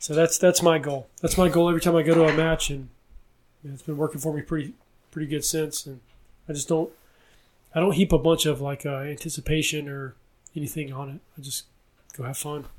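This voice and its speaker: With a Southern US accent, a man talks at a fairly quick pace in a fairly high, monotone, flat voice, with big swings in loudness and long, frequent pauses. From US South. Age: 20s. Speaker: police officer. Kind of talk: casual chat. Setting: at his home.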